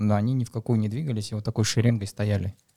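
A man's fairly low voice, dark and mellow in tone, with ordinary pitch variation and a dry, close sound free of echo. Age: 30s. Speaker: amateur marathon runner. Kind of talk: casual chat.

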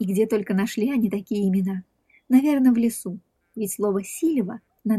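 The background is quiet, and a natural reading voice shows ordinary pitch variation.

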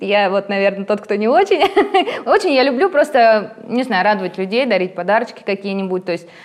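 Noticeable background noise sits under a woman's voice. She speaks at a moderate pace with a medium pitch. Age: 30s. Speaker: tattoo artist. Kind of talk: casual chat.

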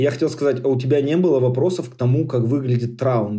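Dark and mellow in tone, a man's medium-pitched voice moves at a fairly quick pace with fairly even intonation. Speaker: podcast host. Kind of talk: casual chat.

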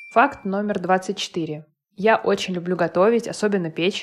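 This woman has a plain, everyday voice. It sits at a medium pitch. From Moscow, Russia. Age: 30s. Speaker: podcaster and mother. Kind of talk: personal monologue.

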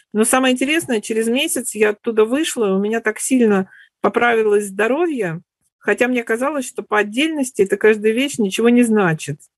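In a dry, close sound with no echo and a quiet background, a woman talks at a fairly quick pace, fairly high in pitch with ordinary pitch variation. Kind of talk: sharing in group discussion. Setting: online webinar.

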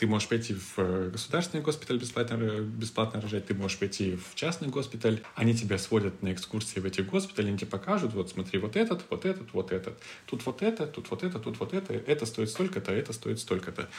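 Lively intonation marks this man's medium-pitched voice. He talks at a very fast pace. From Siberia, Krasnoyarsk. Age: 30s. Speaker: furniture hardware salesman. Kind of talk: casual interview.

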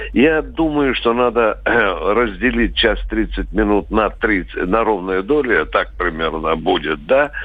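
A man at a very slow pace. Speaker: military columnist. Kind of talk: expert commentary. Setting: phone call.

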